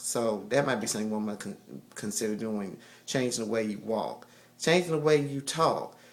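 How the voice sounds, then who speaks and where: A man's voice with ordinary pitch variation, in a room with audible echo. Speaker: video blogger. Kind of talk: casual advice monologue. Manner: halting, many fillers.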